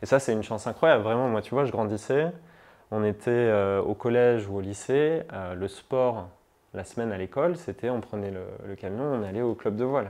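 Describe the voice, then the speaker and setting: Speech proceeds at a moderate pace. The pitch varies in an ordinary way. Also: man, medium pitch for a man. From southern France, La Ciotat (Provence). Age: 30s. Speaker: climate activist. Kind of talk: interview testimony. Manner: casual, hesitant with many fillers.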